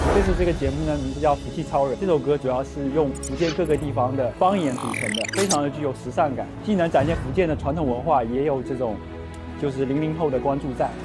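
Clear music plays in the background while a man speaks very fast. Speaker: TV program director. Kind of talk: interview answer. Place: street.

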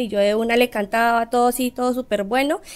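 A woman speaks at a fairly quick pace in an unremarkable speaking voice. Her pitch is fairly high and her intonation fairly even. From Colombia, Pereira (Risaralda); Risaralda, Colombia. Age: 20s. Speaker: singer; guest. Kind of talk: interview. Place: studio.

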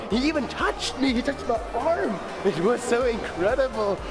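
A man talks at a moderate pace. Music is clearly heard in the background. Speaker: vlogger. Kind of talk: casual vlog chat. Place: market. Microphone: phone near.

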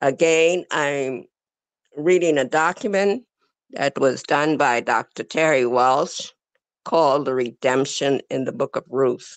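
In a dry recording with no echo and a quiet background, a woman speaks very slowly at a very deep, low pitch with ordinary pitch variation. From The Bahamas. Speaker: religious class speaker; speaker. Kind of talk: reading aloud; scripture teaching, reading a document. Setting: video call. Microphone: video call.

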